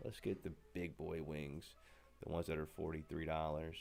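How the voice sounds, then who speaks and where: An energetic tone comes through with music playing in the background. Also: man. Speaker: podcast host demonstrating software. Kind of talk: software tutorial demo. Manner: casual, energetic.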